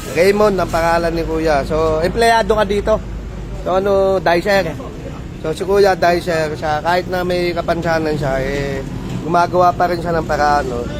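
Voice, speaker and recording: Noticeable background noise sits behind a man speaking at a moderate pace in a high pitch with fairly even intonation. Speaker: vlogger. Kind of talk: casual vlog. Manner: halting.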